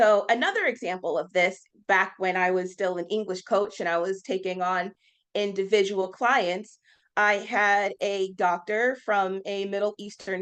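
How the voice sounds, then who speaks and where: With an American accent, a woman in a plain, everyday voice speaks at medium pitch and a moderate pace against a quiet background. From United States. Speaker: conference speaker, communication coach. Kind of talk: conference presentation.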